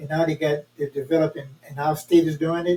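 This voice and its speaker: A man with an American accent, fairly high in pitch, fairly quick, in monotone, flat intonation. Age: 80s+. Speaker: community activist. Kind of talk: casual chat.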